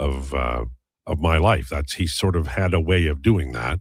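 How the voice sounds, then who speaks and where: On a very clean recording with a silent background, a man with a very deep, low pitch and vocal fry speaks with lively intonation. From Saskatchewan, Canada. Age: 60s. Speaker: sports radio host. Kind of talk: casual chat.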